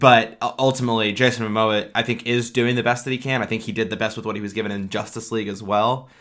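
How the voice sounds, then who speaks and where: Speaking very fast with hardly any pauses, a man keeps a medium pitch and monotone, flat intonation on a very clean recording with a silent background. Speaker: podcast co-host. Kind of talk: casual movie review chat. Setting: same room as co-host.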